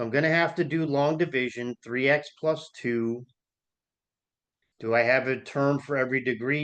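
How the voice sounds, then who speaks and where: Against a quiet background, a man speaks in a plain, everyday voice with fairly even intonation. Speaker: math instructor. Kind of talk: tutorial.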